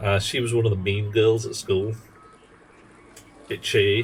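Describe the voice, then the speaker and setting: Someone speaks with a London accent while music plays in the background. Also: man. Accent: southern English, London. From South London, England. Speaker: video game streamer. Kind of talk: casual live-stream chat while gaming. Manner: animated.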